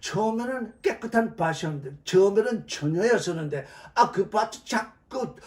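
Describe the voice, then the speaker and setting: The voice sounds animated and moves at a moderate pace. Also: man. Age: 70s. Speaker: Bible teacher. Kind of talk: sermon. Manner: loud.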